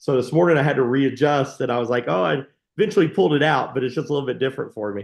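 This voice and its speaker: Very fast, lively speech from a man at medium pitch, against a quiet background. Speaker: tax advisor. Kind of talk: casual chat.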